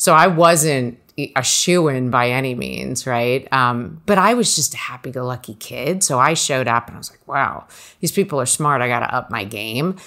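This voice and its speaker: The voice has an American accent and a bright, sharp tone, with big swings in loudness. Intonation is lively and the pace moderate. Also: woman, very deep, low pitch for a woman. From New Jersey. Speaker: college financial planning advisor. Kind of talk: interview conversation.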